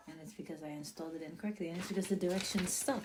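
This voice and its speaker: Against noticeable background noise, a woman talks in a fairly low voice with ordinary pitch variation. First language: not English (English is her third language). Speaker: product reviewer / vlogger. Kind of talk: casual product tutorial; reading instructions aloud. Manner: animated.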